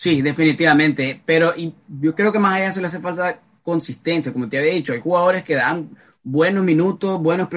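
A man speaks at a moderate pace with a fairly high pitch. His is an unremarkable speaking voice. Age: 20s. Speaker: football podcast host. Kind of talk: casual chat.

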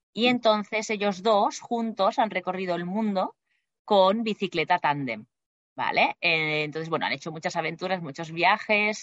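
At a fairly slow pace, a woman talks in a normal speaking voice. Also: medium pitch for a woman, ordinary pitch variation. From Spain, Barcelona. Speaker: flight attendant. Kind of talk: interview.

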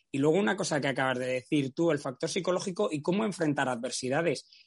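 With ordinary pitch variation, a man talks in a fairly high pitch. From Spain, Valladolid. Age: 40s. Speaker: race announcer and trail running journalist. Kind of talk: casual interview chat.

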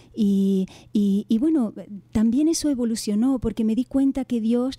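A woman speaks at a moderate pace with a fairly high, somewhat breathy voice and a dark, mellow tone. Her pitch varies in an ordinary way, and the sound is dry and close with no echo. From Canary Islands. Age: 50s. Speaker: author and former teacher. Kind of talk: interview. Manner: gentle.

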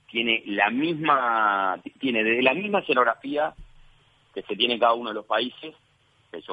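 A man with a Uruguayan accent speaks at a moderate pace and medium pitch with lively intonation. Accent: Uruguayan Spanish (Rioplatense). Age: 40s. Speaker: sports journalist. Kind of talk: interview.

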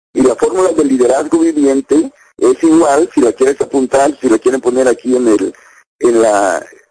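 This man's delivery is fairly slow. The recording sounds dry and close, with no echo at all. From Mexico, Veracruz. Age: 50s. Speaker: network marketing distributor. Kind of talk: testimony. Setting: internet video link.

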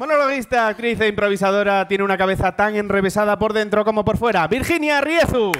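Over noticeable background noise, a man with a high pitch talks very fast with hardly any pauses, ordinary pitch variation and very even loudness. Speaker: comedy quiz show host. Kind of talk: comedic quiz hosting before live audience. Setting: university venue with live audience.

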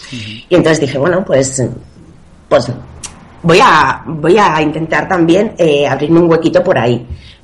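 A woman's very deep, low voice with lively intonation, fairly slow with long, frequent pauses, over noticeable background noise. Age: 30s. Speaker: personal trainer. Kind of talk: interview.

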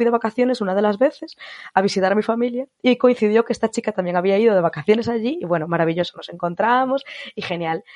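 A woman talks at a very fast pace with a medium pitch and ordinary pitch variation. The sound is dry and close, with no echo. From Spain. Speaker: former au pair, psychology graduate. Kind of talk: interview.

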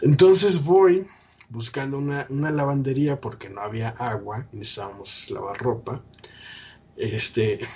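Pitched fairly high, a man talks at a fairly slow pace with lively intonation. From Mexico, State of Mexico. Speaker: podcast host. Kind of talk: casual chat.

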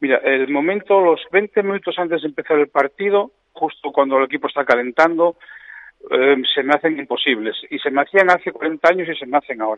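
A man's fairly high-pitched, normal speaking voice, fairly quick in pace, with ordinary pitch variation. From Oviedo, Asturias, Spain. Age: 50s. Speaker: football coach. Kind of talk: radio interview.

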